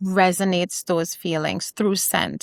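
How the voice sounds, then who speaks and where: A woman with an American accent at a medium pitch and fairly slow pace, in a dry, close sound with no echo, on a very clean recording with a silent background. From Trinidad and Tobago. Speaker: small business founder. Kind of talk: podcast interview.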